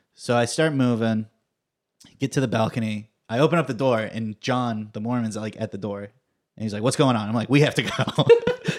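At a moderate pace, a man with an unremarkable speaking voice keeps a fairly even intonation. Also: medium pitch for a man. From California, Fresno. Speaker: comedy performer and writer. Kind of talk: casual chat.

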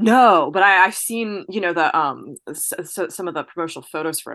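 At a very fast pace with hardly any pauses, a woman with an American accent and fairly low pitch speaks in a bright, sharp tone, with ordinary pitch variation, big swings in loudness and a quiet background. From New Jersey. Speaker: French teacher, film enthusiast. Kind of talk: casual chat.

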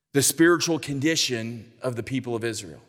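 An American accent comes through at moderate speed. Behind it, the background is silent and the recording very clean. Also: man. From California. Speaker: denominational church leader, guest preacher. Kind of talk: sermon.

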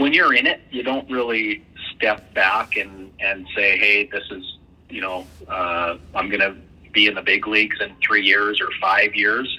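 Against noticeable background noise, a man with a Canadian Prairies accent speaks at a fairly slow pace. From Western Canada. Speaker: baseball team owner and former pro player. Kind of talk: interview. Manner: hesitant, many fillers.

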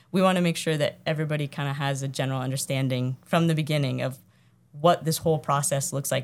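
A woman with an American accent, very deep and low in pitch, very fast, monotone and flat, on a very clean recording with a silent background. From Iowa. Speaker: architect. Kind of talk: casual interview. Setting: on location at their office.

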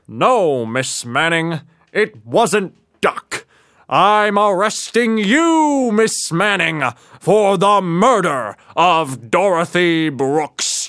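A man with a high pitch talks at a very slow pace, his pitch swinging very widely while his loudness stays very even. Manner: measured, quietly triumphant.

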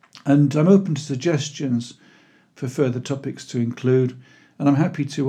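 A man speaks with a Welsh accent in a dark, mellow, somewhat breathy voice. The background is quiet. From Wales (Pembrokeshire). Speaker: historical fiction author. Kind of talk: scripted narration.

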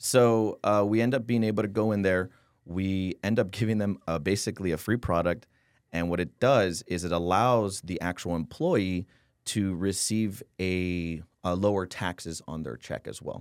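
Against a silent background in a very clean recording, a man with an American accent speaks at a moderate pace in a very deep, low pitch with ordinary pitch variation. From San Antonio, Texas. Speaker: tax optimization consultant. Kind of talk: casual interview.

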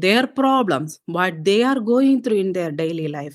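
In a very clean recording with a silent background, a woman with an Indian accent speaks at a fairly slow pace with very wide pitch swings. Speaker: political candidate. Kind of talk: interview.

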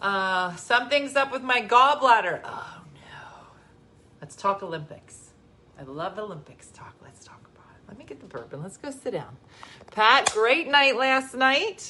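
With an animated tone, a woman speaks at a high pitch and a fairly slow pace, her pitch swinging very widely and her loudness in big swings, against noticeable background noise. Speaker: livestream host. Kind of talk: casual chat. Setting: home livestream.

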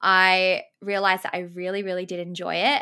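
Heard in a very clean recording with a silent background, a woman with an Australian accent and a medium pitch speaks at a moderate pace in a bright, sharp tone. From Australia, Sydney. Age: 20s. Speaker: YouTuber and podcast host. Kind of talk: casual interview chat.

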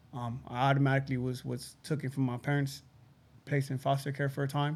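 At a fairly quick pace, a man speaks at medium pitch with little pitch movement.

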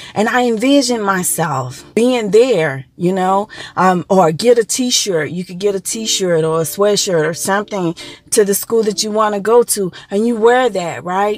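A woman speaks at a fairly slow pace with lively intonation and medium pitch. She has a normal speaking voice. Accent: American. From Texas, Dallas-Fort Worth area. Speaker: spiritual coach podcaster. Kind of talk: self-help monologue.

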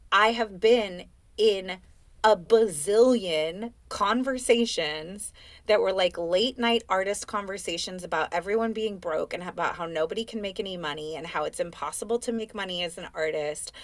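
A woman with an American accent speaks at a moderate pace in a plain, everyday voice, her pitch medium with ordinary variation. Her loudness swings widely. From US West Coast, Oakland. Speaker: life and business coach, dancer. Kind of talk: casual interview chat.

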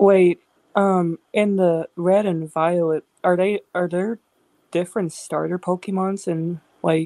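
A woman speaks very slowly at a fairly low pitch, in a monotone with flat intonation and a dry, close sound with no echo. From US South. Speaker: podcast panelist. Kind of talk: casual chat.

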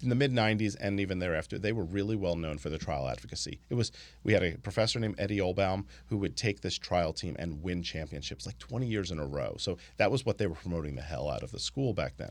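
On a very clean recording with a silent background, a man with a very deep, low pitch and vocal fry talks at a very fast pace with lively intonation. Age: 40s. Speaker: lawyer. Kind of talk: casual chat. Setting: studio.

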